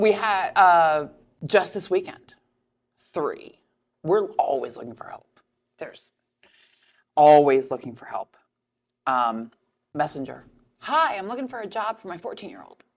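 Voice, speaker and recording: A woman's fairly slow speech with vocal fry, very wide pitch swings, big swings in loudness and long, frequent pauses. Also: medium pitch for a woman. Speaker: restaurant owner and podcast host. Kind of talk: casual chat.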